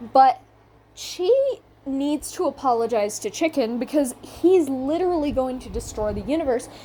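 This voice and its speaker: A woman with a high pitch and a dark, mellow tone speaks at a moderate pace. Her intonation is lively, and her loudness swings a lot. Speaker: video commentator. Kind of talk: casual commentary. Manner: halting, stuttering.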